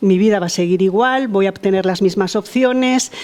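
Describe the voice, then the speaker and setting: A woman talks at a medium pitch with a dark, mellow tone. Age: 60s. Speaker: participant in discussion group. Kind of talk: personal testimony in group discussion. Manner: halting, many fillers and repetitions.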